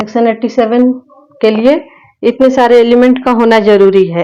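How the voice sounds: The woman's tone is dark and mellow, with a fairly high pitch. She talks at a moderate pace with fairly even intonation.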